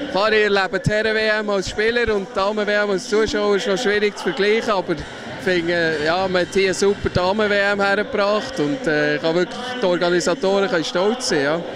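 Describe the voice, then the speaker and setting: With a Swiss accent, a man speaks in a high pitch at a fairly quick pace with hardly any pauses, ordinary pitch variation and very even loudness, in a dry sound with no echo over noticeable background noise. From Switzerland. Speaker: floorball player. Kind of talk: interview answer. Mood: relaxed, positive. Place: hall. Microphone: handheld.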